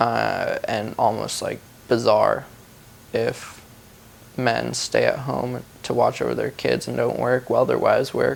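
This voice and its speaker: A soft-spoken man talks at a fairly slow pace with long, frequent pauses. Background noise is noticeable. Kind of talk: interview.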